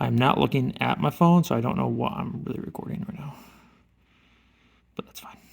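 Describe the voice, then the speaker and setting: A man whispers at a fairly quick pace, his loudness swinging widely and his speech broken by long, frequent pauses. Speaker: woodworking hobbyist vlogger. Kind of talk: casual tutorial narration while working. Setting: garage workshop. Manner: whispering.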